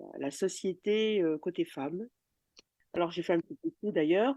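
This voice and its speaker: A woman speaks with ordinary pitch variation. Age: 60s. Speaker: retired journalist. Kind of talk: interview. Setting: recorded outside the studio. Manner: hesitant, many fillers and repetitions.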